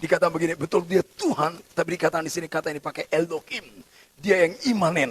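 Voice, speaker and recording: Loud and very fast, a man talks at a high pitch with ordinary pitch variation, the sound dry and close with no echo. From Batak, North Sumatra, Indonesia. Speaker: pastor. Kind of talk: sermon. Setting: church service, also streamed on Zoom.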